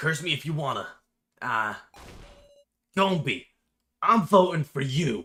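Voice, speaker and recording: Putting on a raspy character voice, a man talks at a fairly slow pace with fairly high pitch, lively intonation and long, frequent pauses. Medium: game stream. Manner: rude, taunting.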